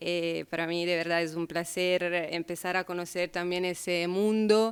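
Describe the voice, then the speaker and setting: The recording is very clean, and the background is silent. A woman talks at a fairly slow pace. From Italy. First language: Italian (speaking Spanish). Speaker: sociology researcher and speaker. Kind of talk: lecture. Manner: halting.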